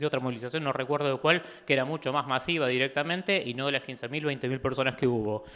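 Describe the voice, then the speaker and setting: Delivered at a very fast pace, the speech has fairly even intonation and a bright, sharp tone. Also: man, medium pitch for a man. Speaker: author and political activist. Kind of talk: book presentation talk. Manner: halting, many fillers and restarts.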